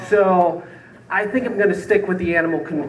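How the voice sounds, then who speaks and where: A man with a high pitch speaks at a moderate pace. Audible room echo and noticeable background noise surround him. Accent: American. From Southgate, Michigan, US Midwest. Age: 30s. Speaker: comedian. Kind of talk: stand-up.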